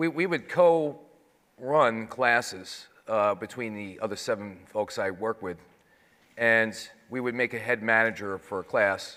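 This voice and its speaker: A man with a New York accent speaks in a bright, sharp tone. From New York City. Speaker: 9/11 survivor, financial services manager. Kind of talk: panel testimony.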